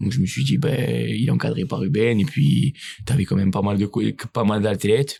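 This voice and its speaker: Against noticeable background noise, a man talks at a moderate pace in a fairly low pitch, with very wide pitch swings. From Corsica, France. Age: 20s. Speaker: CrossFit coach and competitive athlete. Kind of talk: casual podcast interview.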